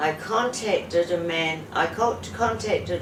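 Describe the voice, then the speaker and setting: A woman with a New Zealand accent speaks at a medium pitch with ordinary pitch variation, her voice carrying audible room echo over noticeable background noise. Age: 70s. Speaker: patient. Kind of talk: testimony. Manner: halting.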